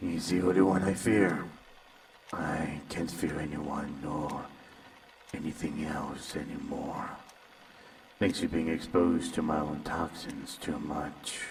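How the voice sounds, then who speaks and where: In a put-on character voice with very deep, low pitch, a man speaks at a fairly slow pace with long, frequent pauses and audible echo. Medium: audio drama. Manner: calm, unsettling, condescending.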